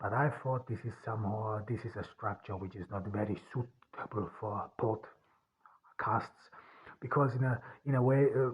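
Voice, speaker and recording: A somewhat breathy male voice at medium pitch, fairly slow and fairly even in intonation. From rural Austria. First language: German. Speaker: author and podcaster. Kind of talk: solo podcast monologue. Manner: halting, many fillers and restarts.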